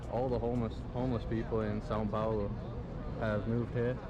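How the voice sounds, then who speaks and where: Audible room echo trails the voice of a man as he talks. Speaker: travel vlogger. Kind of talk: travel vlog narration.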